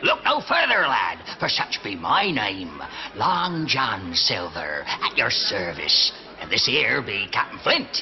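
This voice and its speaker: A man uses a cartoonish character voice at a fairly slow pace, with clear background noise. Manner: hearty, sailorly.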